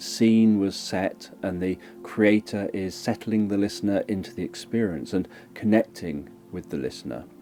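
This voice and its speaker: Music in the background behind a man with a British accent, fairly slow, with ordinary pitch variation. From countryside. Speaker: hypnotherapist and ASMR creator. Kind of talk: educational talk. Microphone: mono microphone.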